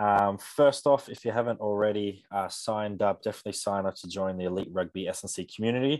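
Against a quiet background, a man with an Australian accent speaks at a fairly quick pace. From Australia, Canberra. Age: young. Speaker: strength and conditioning coach. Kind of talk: sales pitch; casual chat.

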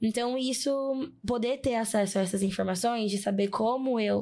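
In a very clean recording with a silent background, a woman with an unremarkable speaking voice and a fairly high pitch talks at a moderate pace with ordinary pitch variation. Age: 20s. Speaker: psychologist and diversity specialist. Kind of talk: casual interview conversation. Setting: studio in São Paulo.

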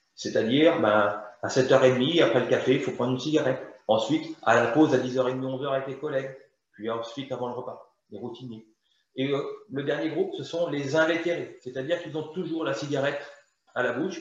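A man with a fairly high pitch talks at a moderate pace with ordinary pitch variation. The room echo is audible. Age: 50s. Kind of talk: interview.

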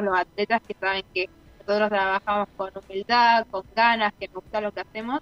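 A woman's fairly high voice at a fairly quick pace with fairly even intonation, dry and close with no echo, over music in the background. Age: 20s. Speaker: professional athlete. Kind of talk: interview.

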